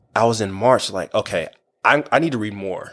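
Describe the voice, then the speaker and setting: The speaker has an American accent. Pitch moves up and down in an ordinary way. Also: man. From Kansas. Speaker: elementary school teacher. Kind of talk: testimony.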